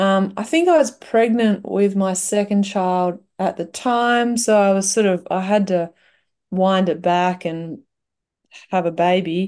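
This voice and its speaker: Against a quiet background, a woman with an Australian accent speaks at a medium pitch in a dark, mellow tone. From Western Australia, wheat belt. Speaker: singer-songwriter. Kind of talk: casual interview. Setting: video call.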